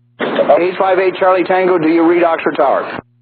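A man speaks at a high pitch with fairly even intonation. Room echo is audible. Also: moderate pace.

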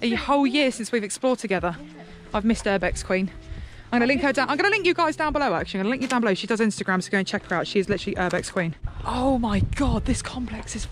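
A woman talks at a very fast pace with lively intonation, her dry, echo-free sound set against noticeable background noise. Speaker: urban explorer vlogger. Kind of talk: casual vlog chat. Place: open country. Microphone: phone near.

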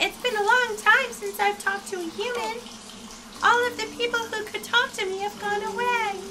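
At a moderate pace, someone performs in a put-on character voice. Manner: sad, lonely.

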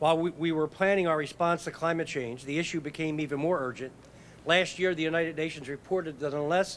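A man talks at a very fast pace with fairly even intonation over light background noise. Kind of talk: prepared speech at press conference. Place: street. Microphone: podium.

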